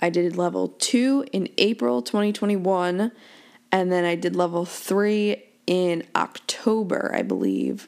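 Fairly low in pitch, a woman speaks at a very slow pace. Noticeable background noise runs under her voice. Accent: American. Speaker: podcast host and golf professional. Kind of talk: casual monologue.

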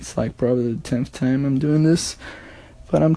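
A man's dark, mellow tone at a fairly high pitch, with a Portuguese accent. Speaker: podcaster. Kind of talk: audio diary. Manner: casual.

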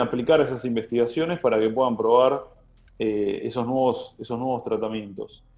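Dark and mellow in tone, a man speaks at a medium pitch and moderate pace with ordinary pitch variation. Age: 30s. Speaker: bank innovation manager. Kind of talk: interview.

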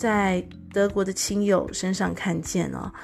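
A woman talks with a Taiwanese accent on a very clean recording with a silent background. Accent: Taiwanese Mandarin. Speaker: podcast host. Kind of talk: solo podcast monologue. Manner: frequent fillers and hesitations.

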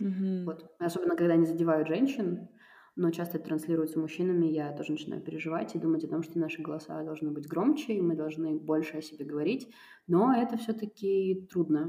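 A woman talks at a very fast pace. Her pitch is fairly low, with ordinary pitch variation. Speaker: cultural producer and foundation director. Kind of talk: casual interview conversation. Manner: hesitant, many fillers.

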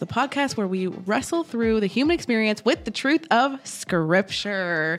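A woman's fairly high voice with very wide pitch swings at a fairly slow pace. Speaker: church children's ministry worker and podcast co-host. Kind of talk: casual faith podcast chat.

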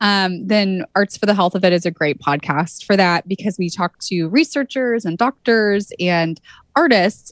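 In a dry, close sound with no echo, a woman with a West Coast accent speaks at a moderate pace. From California, Santa Cruz. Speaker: arts-in-healthcare nonprofit founder. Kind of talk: interview.

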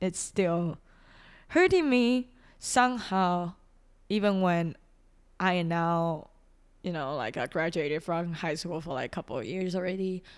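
In a Chinese accent, a woman with a fairly low pitch talks at a fairly slow pace with long, frequent pauses, on a very clean recording with a silent background. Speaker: podcaster. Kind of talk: personal monologue.

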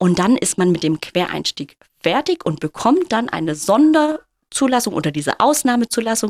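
A woman's fairly high voice at a moderate pace, with very wide pitch swings and a dry, close sound with no echo. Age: 30s. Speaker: kindergarten teacher. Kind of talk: interview.

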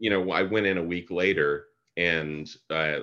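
A man's bright, sharp voice with vocal fry and ordinary pitch variation. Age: 50s. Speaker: biochemist. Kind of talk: casual chat.

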